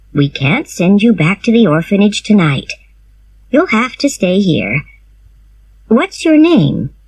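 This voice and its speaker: A woman's put-on character voice with very wide pitch swings, a fairly slow pace, and long, frequent pauses. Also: medium pitch for a woman. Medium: read story. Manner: brisk, firm.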